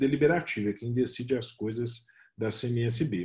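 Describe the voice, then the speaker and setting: A man with a Minas Gerais accent speaks at a moderate pace in a medium pitch, his somewhat breathy voice dark and mellow in tone. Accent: mineiro accent, noticeable. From Minas Gerais, Brazil. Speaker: freemason official, speaker. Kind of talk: webinar presentation. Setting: video call webinar.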